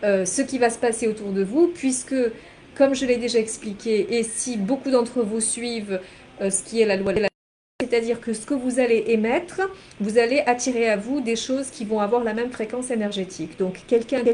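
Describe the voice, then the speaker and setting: Her fairly high voice moves at a moderate pace, and this woman uses ordinary pitch variation. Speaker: energy healer and life coach. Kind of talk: spiritual teaching monologue. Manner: halting, many fillers and repetitions.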